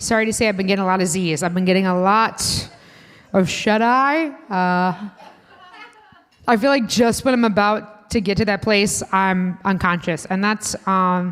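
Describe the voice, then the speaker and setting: Speaking in a Chicago accent, a woman keeps a medium pitch, ordinary pitch variation, a moderate pace and very even loudness. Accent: Midwestern (Chicago) vowels. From US Midwest, Indiana. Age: 30s. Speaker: comedian. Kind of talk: stand-up. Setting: stage with audience at a restaurant.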